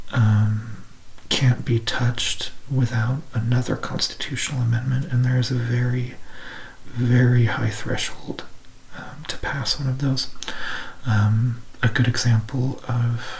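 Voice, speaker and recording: Soft-spoken and with an American accent, a man talks at medium pitch in a monotone, flat intonation at a fairly slow pace, leaving long, frequent pauses amid noticeable background noise. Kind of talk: ASMR educational talk on history and civics.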